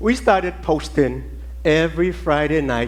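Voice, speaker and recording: A man speaks at a fairly slow pace in a Virgin Islands accent. There is audible room echo. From US Virgin Islands (Saint Thomas). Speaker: ballet teacher. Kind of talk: conference talk. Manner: animated.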